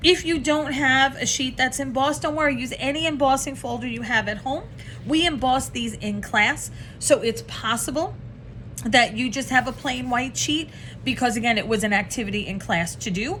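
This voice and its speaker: This woman's high-pitched voice comes through noticeable background noise. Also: ordinary pitch variation. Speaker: craft tutorial host. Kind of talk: tutorial. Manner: fast.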